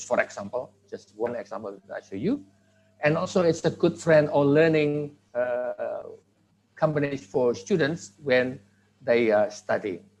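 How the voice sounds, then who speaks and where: A man with an Indonesian accent speaks at a fairly high pitch. His intonation is lively and his pace moderate. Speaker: conference speaker on language teaching technology. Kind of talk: academic presentation.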